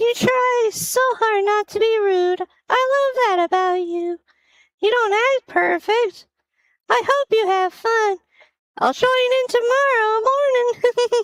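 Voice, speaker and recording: In a put-on character voice, a woman squeaks at an extremely high pitch, fairly slowly and at very even loudness, in a dry, close sound with no echo. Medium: audio drama. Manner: warm, laughing.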